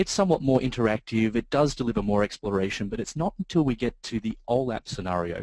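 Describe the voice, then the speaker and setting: A man of medium pitch in an Australian accent, at a very fast pace with lively intonation, in a dry, close sound with no echo. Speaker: software trainer, database consultant. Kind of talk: webinar presentation. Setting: online webinar. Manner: hesitant with filler words.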